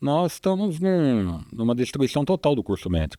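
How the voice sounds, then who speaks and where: This man has a dark, mellow tone and speaks at a fairly slow pace. His pitch moves in very wide swings. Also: very clean recording, silent background. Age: 60s. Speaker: physician, obstetric surgeon. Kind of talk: podcast interview.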